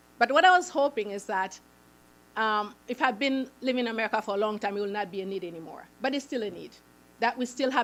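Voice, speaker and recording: In a Haitian accent, a woman talks at a very fast pace with a fairly high pitch, recorded very cleanly against a silent background. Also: big swings in loudness. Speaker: nonprofit founder. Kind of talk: public presentation.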